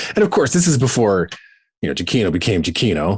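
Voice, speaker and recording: In a Canadian accent, a man talks at a very fast pace. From Southern Ontario, Canada. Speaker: radio host. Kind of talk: casual chat. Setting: video call. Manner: animated.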